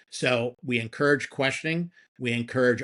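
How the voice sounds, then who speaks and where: A man with a plain, everyday voice, medium pitch, fairly even intonation and a fairly quick pace against a quiet background. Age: 60s. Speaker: marketing executive. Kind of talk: podcast interview.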